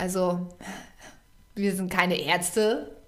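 With audible room echo, a woman of medium pitch talks at a very slow pace. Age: 20s. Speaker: podcast co-host. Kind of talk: casual chat. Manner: halting.

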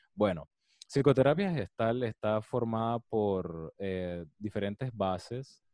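At a very slow pace, a man with a Panamanian accent speaks with a fairly low pitch, ordinary pitch variation and a dark, mellow tone in a dry, close sound with no echo. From Panama, Colón. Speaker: psychologist. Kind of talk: interview.

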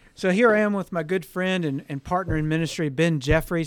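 Over a silent background on a very clean recording, a man speaks at a fairly quick pace. He has a plain, everyday voice with ordinary pitch variation. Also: dry, close sound with no echo. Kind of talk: casual interview. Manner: warm, with frequent filler words and restarts.

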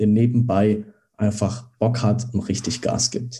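A somewhat breathy male voice with a dark, mellow tone and monotone, flat intonation. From Germany, Dresden (Saxony). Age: 20s. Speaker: startup founder. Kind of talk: interview.

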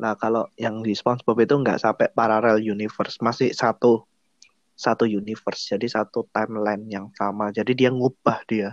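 Over a quiet background, the voice moves at a moderate pace with monotone, flat intonation and a dry, close sound with no echo. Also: man, medium pitch for a man. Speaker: podcast host. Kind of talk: casual chat.

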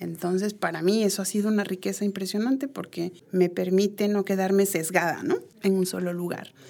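A woman's dark, mellow, medium-pitched voice at a fairly quick pace with fairly even intonation. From Peru. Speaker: education researcher and psychologist. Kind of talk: interview. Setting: studio.

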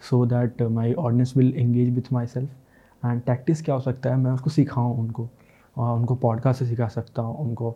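A man speaks in a somewhat breathy, dark, mellow voice of medium pitch. His intonation is flat and monotone. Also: quiet background. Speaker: podcaster. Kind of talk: solo self-help talk. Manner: halting, with many fillers.

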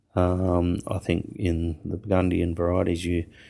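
A man with an Australian accent, very deep and low in pitch, fairly even intonation, on a very clean recording with a silent background. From Western Australia. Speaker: winemaker. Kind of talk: interview.

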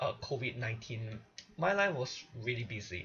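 The man talks at a fairly slow pace with lively intonation. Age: 20s. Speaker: podcast host and singer. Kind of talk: solo monologue. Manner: animated.

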